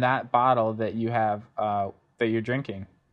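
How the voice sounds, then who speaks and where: Using an ordinary speaking voice, this man keeps his intonation fairly even, with a medium pitch and a moderate pace. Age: young. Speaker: cider maker and orchard manager. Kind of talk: interview.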